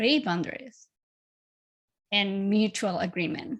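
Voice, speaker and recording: A woman with a Spanish accent speaks fairly slowly at a medium pitch with ordinary pitch variation. The recording is very clean, with a silent background. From Chile. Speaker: life coach. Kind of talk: podcast interview.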